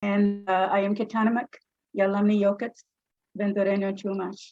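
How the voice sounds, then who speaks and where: A woman with an American accent speaks at a medium pitch in a dark, mellow tone. Her intonation stays monotone and flat at a moderate pace. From California, Bakersfield. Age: 70s. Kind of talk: public comment at a board meeting. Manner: halting, many hesitations.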